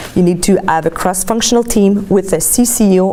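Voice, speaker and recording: A woman with a Quebec accent, medium pitch, fairly quick pace and fairly even intonation, amid noticeable background noise. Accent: Québécois French accent in English. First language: French. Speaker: graduate student presenting research. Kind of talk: academic presentation.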